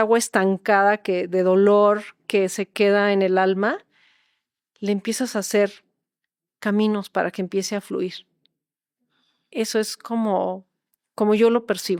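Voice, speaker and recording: The delivery is fairly slow and monotone, with long, frequent pauses. The recording is very clean with a silent background, and the sound is dry and close with no echo. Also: woman. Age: 60s. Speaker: holistic therapist. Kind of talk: interview.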